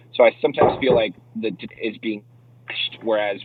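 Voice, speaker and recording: Fairly low in pitch, a man talks at a very fast pace with a New York accent and ordinary pitch variation. Noticeable background noise runs underneath. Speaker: crypto YouTuber. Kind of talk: casual livestream chat.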